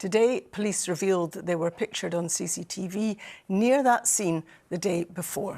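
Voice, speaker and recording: Recorded very cleanly over a silent background, a woman speaks at medium pitch and a moderate pace. Her tone is dark and mellow, with ordinary pitch variation. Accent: Scottish. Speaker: news presenter. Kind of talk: TV news presenting.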